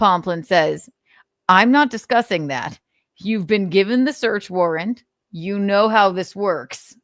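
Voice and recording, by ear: With a quiet background, the text is read aloud in a natural voice, the pitch varying in an ordinary way.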